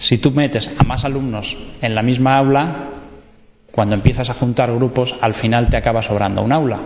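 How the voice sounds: A man at a medium pitch, with fairly even intonation and a moderate pace.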